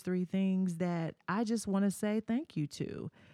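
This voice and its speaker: In a very clean recording with a silent background and a dry, close sound with no echo, a woman with an American accent speaks at a fairly slow pace and medium pitch, her tone dark and mellow, with ordinary pitch variation. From Murfreesboro, Tennessee. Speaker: podcast host. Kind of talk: podcast intro and outro; interview host, casual chat. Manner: animated.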